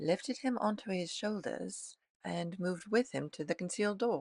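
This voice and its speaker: A woman's fairly low voice with vocal fry and lively intonation, over a quiet background. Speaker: author and audiobook narrator. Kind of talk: audiobook reading.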